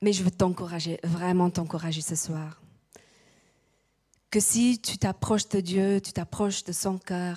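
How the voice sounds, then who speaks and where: A woman's somewhat breathy voice, dark and mellow in tone, at a very slow pace with fairly even intonation and long, frequent pauses, dry and close with no echo on a very clean recording with a silent background. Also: medium pitch for a woman. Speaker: preacher. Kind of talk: sermon. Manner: halting.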